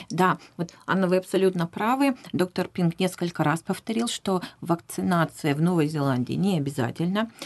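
A plain, everyday voice with lively intonation, very even loudness and a moderate pace. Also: woman, fairly low pitch for a woman. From Russia, Vladivostok. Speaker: professional interpreter. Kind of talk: radio interview. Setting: radio studio.

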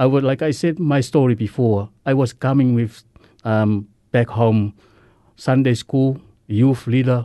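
A man with a Samoan accent speaks in a dark, mellow tone at medium pitch, at a fairly slow pace with fairly even intonation. His loudness stays very even against a quiet background. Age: 50s.

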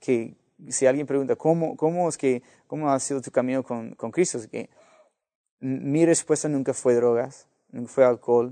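A man with an American accent speaks fairly slowly at medium pitch, in a dark, mellow tone. The sound is dry and close with no echo, and his loudness swings widely. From US (Los Angeles). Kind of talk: interview testimony. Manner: halting, many repetitions and fillers.

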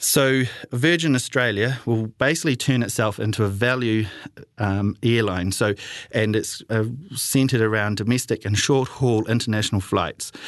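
Moderate pace from a man of medium pitch, with ordinary pitch variation and very even loudness. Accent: New Zealand. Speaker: community radio travel show host. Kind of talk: solo radio talk. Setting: radio studio. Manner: halting, many fillers.

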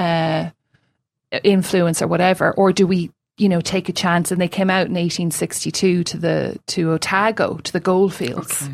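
In a Limerick accent, a woman talks at a moderate pace with monotone, flat intonation and a fairly low pitch, on a very clean recording with a silent background. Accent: Limerick Irish. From Ireland, suburban Limerick. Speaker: novelist and poet, creative writing lecturer. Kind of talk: casual interview.

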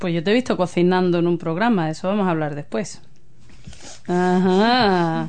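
A moderate pace with ordinary pitch variation. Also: woman, fairly low pitch for a woman. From Spain. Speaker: community radio host. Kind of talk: casual interview.

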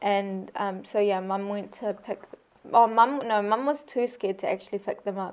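A woman with a New Zealand accent at a medium pitch, a moderate pace and fairly even intonation. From Saudi Arabia. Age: 20s. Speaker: speech therapist, recent graduate. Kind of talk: oral history interview.

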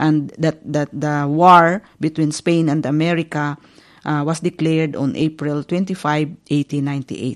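This voice has a Filipino accent and a monotone, flat intonation. The pace is moderate. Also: woman, very deep, low pitch for a woman, dry, close sound with no echo, quiet background. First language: Filipino (Tagalog). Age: 50s. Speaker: community radio host. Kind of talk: radio talk on history. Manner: halting, many fillers.

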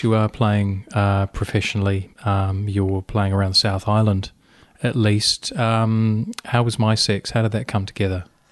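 Against a quiet background, a man in a New Zealand accent speaks at a fairly slow pace with a fairly low pitch. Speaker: community radio host. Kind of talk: interview.

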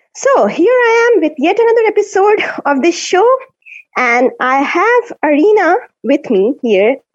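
A woman speaks at an extremely high pitch with very wide pitch swings. Her loudness stays very even. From India. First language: Hindi. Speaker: radio host. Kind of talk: radio show hosting, casual chat. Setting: video call.

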